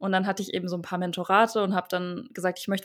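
Medium-pitched female speech, very clean recording, silent background. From Italy (Verona) and Germany (Dresden). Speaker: author. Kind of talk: casual interview.

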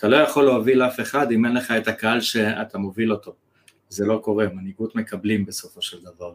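A man with a plain, everyday voice speaks at medium pitch and a fairly quick pace, with fairly even intonation. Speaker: copywriter and business mentor. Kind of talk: interview conversation.

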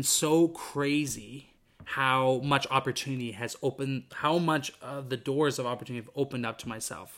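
A man with a Western Canadian accent talks at a fairly slow pace and medium pitch, with fairly even intonation. His tone is bright and sharp, on a very clean recording with a silent background. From Vancouver, British Columbia, Canada. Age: 20s. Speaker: podcast host. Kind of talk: solo podcast monologue. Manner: casual, with frequent fillers and restarts.

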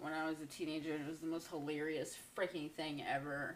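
A woman's voice amid noticeable background noise. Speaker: podcast co-host. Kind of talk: casual chat. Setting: live stream from home.

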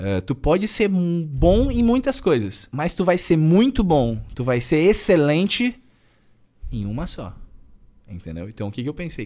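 The tone is dark and mellow. Pitch swings very widely. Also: man. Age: 20s. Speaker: personal trainer. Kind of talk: casual chat.

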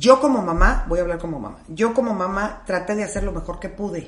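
A woman at medium pitch with very wide pitch swings and a moderate pace, amid audible room echo and noticeable background noise. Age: 50s. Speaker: life coach. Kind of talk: casual chat.

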